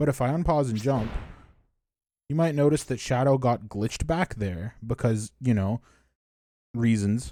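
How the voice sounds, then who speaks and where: With a dark, mellow tone and a medium pitch, a man speaks at a moderate pace, leaving long, frequent pauses. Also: ordinary pitch variation, very clean recording, silent background. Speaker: speedrunner. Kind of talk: tutorial. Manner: casual with fillers.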